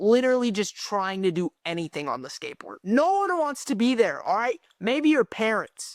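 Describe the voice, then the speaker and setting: The delivery is animated at a moderate pace, on a very clean recording with a silent background and a dry, close sound with no echo. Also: woman. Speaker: content creator and amateur musician. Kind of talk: vlog monologue. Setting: self-recorded on camera. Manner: casual, animated.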